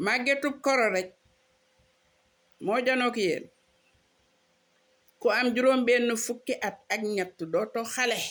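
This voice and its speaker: A woman talks at a very slow pace with a high pitch, ordinary pitch variation and long, frequent pauses, on a very clean recording with a silent background. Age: 60s. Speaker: social media preacher. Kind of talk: personal video monologue mixing French and Wolof.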